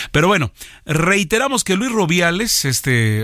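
This man speaks at a moderate pace in a very clean recording with a silent background. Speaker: news radio host. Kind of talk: news reading and studio chat. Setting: radio studio.

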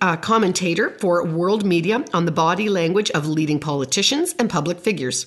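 With lively intonation, a woman with a normal speaking voice talks at a medium pitch and a moderate pace. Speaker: parenting podcast host and family counselor. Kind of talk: casual interview conversation.

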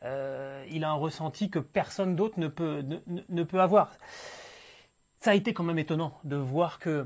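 The recording is very clean, with a silent background. A fairly high-pitched man speaks at a fairly slow pace with ordinary pitch variation and long, frequent pauses. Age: 40s. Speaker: motorsport podcast host. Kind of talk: casual chat.

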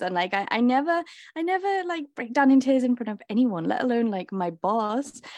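A woman with a Liverpool accent speaks at a moderate pace against a quiet background. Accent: Liverpool (Scouse) English. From England, Liverpool. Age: 20s. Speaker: traveler. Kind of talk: casual interview. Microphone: good microphone.

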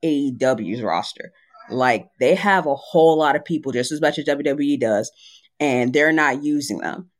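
A plain, everyday voice from a man, pitched fairly high, moving at a moderate speed. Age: 20s. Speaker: wrestling fan. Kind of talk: casual chat.

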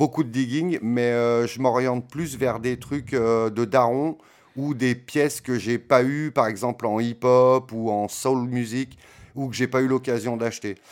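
A man talks at a very slow pace with fairly even intonation. The recording is very clean, with a silent background. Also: medium pitch for a man. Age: 40s. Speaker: DJ. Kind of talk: casual interview. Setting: home studio. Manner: halting.

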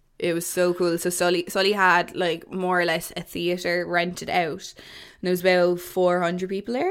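A woman's fairly low voice in a Waterford Irish accent, monotone and flat, at a moderate pace with hardly any pauses and big swings in loudness. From Ireland, Waterford. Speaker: podcast co-host. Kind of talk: casual chat.

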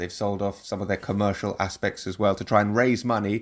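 A man in a London accent, fairly low-pitched and monotone, flat in intonation, at a moderate pace, on a very clean recording with a silent background. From London, England. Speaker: football TV presenter. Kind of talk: interview.

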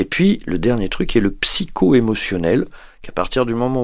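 A man's normal speaking voice, fairly low-pitched, at a moderate pace with ordinary pitch variation, on a very clean recording with a silent background. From Paris, France. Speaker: rehabilitation physician. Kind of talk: interview.

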